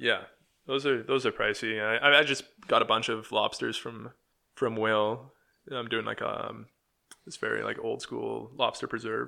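A Canadian prairie accent with long, frequent pauses. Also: man, moderate pace. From Manitoba, Canada. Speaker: sausage maker. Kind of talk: casual interview.

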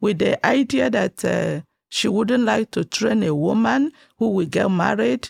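This woman has a fairly low pitch with vocal fry and very wide pitch swings. She talks at a fairly slow pace. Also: dry, close sound with no echo. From Nigeria. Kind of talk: interview about life story.

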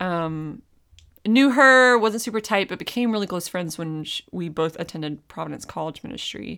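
On a very clean recording with a silent background, a woman with an American accent speaks at a moderate pace in a bright, sharp tone, her medium pitch rising and falling in lively intonation. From Raleigh, North Carolina. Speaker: podcast guest. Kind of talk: casual chat. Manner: animated.

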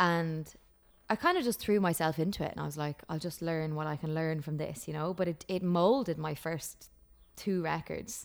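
Woman at a moderate pace, fairly low in pitch with ordinary pitch variation. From Ireland. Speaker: country singer-songwriter. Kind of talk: casual interview chat. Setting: remote call from home.

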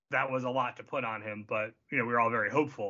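A man with an American accent and an unremarkable speaking voice, medium pitch, at a moderate pace. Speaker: football podcast panelist. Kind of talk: casual sports podcast chat.

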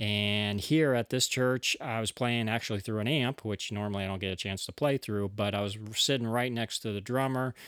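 A man speaks in a normal speaking voice, fairly low in pitch, at a moderate pace with fairly even intonation, the sound dry and close with no echo on a very clean recording over a silent background. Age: 40s. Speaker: podcast host and church bass player. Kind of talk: solo podcast monologue.

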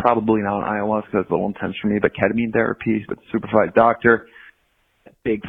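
The man speaks with monotone, flat intonation. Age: 30s. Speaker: caller leaving a voicemail about addiction recovery. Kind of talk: recorded voicemail message.

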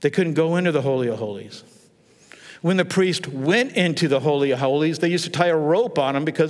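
A man speaks at a very fast pace. His fairly high voice has lively intonation. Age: 60s. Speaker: pastor. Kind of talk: sermon.

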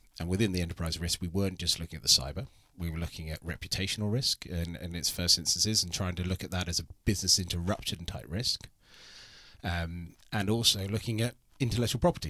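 In a British accent, a man speaks at a very fast pace with a very deep, low pitch, a bright, sharp tone and ordinary pitch variation, on a very clean recording with a silent background. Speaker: insurance executive. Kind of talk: interview. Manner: polished.

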